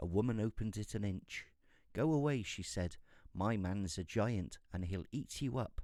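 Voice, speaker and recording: A man speaks in a British accent with a fairly low voice. His tone is dark and mellow, and his intonation is lively. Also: very clean recording, silent background. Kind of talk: fairy tale reading. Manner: soft-spoken.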